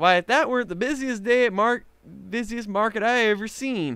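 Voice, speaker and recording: A high-pitched, put-on character voice from a man at a fairly quick pace. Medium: read story. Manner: folksy.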